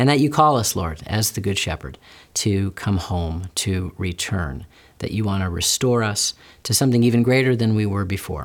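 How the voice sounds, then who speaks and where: A man's normal speaking voice with lively intonation at a moderate pace, on a very clean recording with a silent background. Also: fairly low pitch for a man. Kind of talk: casual interview conversation.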